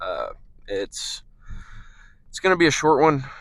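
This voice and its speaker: In a very clean recording with a silent background, someone talks at a fairly slow pace. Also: man. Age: 20s. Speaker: fitness vlogger. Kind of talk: casual vlog monologue. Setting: in a car. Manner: hesitant, many fillers.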